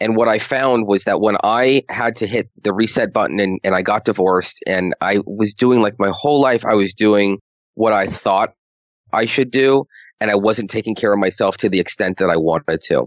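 The speaker has a normal speaking voice and talks at a moderate pace. Pitch variation is ordinary, and loudness stays very even. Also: man, fairly low pitch for a man. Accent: American. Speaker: money strategist. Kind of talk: casual interview.

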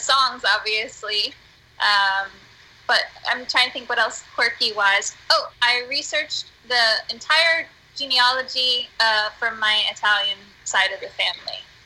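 With an American accent, a woman speaks in a high pitch and a bright, sharp tone. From US, northeastern Pennsylvania. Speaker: musician and theater artist. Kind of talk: casual chat. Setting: Skype call. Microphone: poor sound quality.

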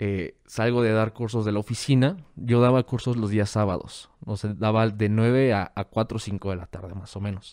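In a very clean recording with a silent background and a dry, close sound with no echo, a man speaks at a fairly slow pace with a fairly low pitch, a dark, mellow tone and ordinary pitch variation. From Mexico, Guadalajara. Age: 20s. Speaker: hacker and security course instructor. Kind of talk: casual interview chat.

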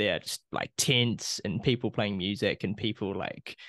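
A man with a plain, everyday voice speaks at a moderate pace and fairly low pitch, with ordinary pitch variation, over a quiet background in a dry, close sound with no echo. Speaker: podcast host. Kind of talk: casual chat.

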